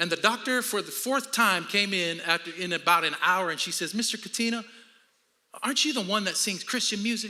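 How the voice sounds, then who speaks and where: Raised and projected, a man's high-pitched voice sounds animated and bright with a sharp edge, moving at a moderate pace with lively intonation. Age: 50s. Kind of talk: sermon.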